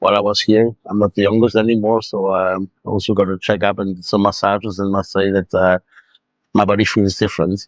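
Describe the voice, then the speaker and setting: A man talks at a fairly quick pace and a fairly low pitch, with monotone, flat intonation and a dry, close sound with no echo. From Luxembourg. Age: 60s. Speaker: patient's husband giving testimonial. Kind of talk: testimony. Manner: halting, many fillers.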